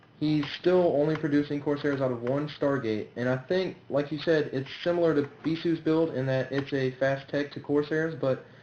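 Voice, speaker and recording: Noticeable background noise sits behind a man with a fairly high pitch. He speaks at a moderate pace with fairly even intonation. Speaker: game commentator. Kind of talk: game analysis commentary.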